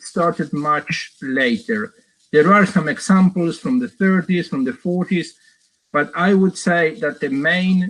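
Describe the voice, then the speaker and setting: In an Argentine accent, a man talks at a fairly slow pace in a high pitch. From Argentina. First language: Spanish. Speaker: professor. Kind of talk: lecture. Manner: halting, many fillers and repeats.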